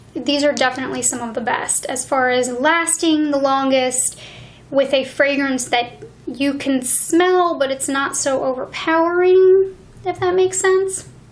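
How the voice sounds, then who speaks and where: Noticeable background noise sits behind this recording. A woman speaks in a high pitch at a fairly slow pace. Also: ordinary pitch variation. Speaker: beauty reviewer. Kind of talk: ASMR beauty product review. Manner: soft-spoken.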